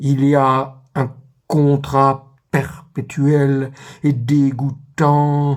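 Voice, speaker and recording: A man's fairly high voice, flat and monotone, at a very slow pace. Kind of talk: literary letter reading. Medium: read story. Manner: measured, intimate.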